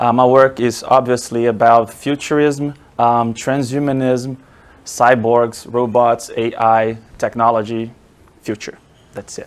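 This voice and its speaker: Speaking with a Portuguese accent, a man talks at a medium pitch. His delivery is fairly slow, flat and monotone. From Brazil, Rio de Janeiro. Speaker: marketing professor. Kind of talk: academic presentation. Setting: lecture room with audience, also streamed online.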